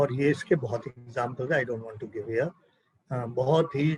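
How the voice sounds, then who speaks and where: A man talks at a moderate pace with ordinary pitch variation. His voice is somewhat breathy. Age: 80s+. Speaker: spiritual speaker. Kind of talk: satsang talk.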